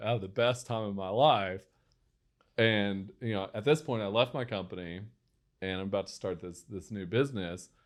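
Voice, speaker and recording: An American-accented man talks in an animated tone, his loudness swinging widely. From West Texas. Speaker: entrepreneur. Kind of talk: interview storytelling. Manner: animated, many fillers and restarts.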